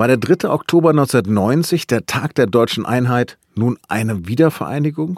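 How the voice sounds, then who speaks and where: A man of medium pitch speaks in an ordinary speaking voice with lively intonation. The sound is dry and close, with no echo. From northern Germany, Hannover. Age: 50s. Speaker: news podcast host. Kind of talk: scripted narration.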